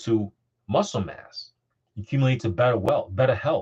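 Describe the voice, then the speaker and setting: The man's voice sits at a medium pitch and sounds somewhat breathy. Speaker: investment coach, podcast host. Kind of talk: motivational talk. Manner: fast.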